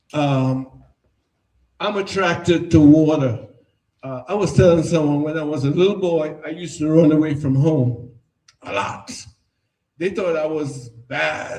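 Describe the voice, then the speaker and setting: With a Trinidadian accent, a man speaks at a fairly slow pace in a dark, mellow tone at a fairly high pitch, with ordinary pitch variation and long, frequent pauses. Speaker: artist. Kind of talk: artist talk at an exhibition.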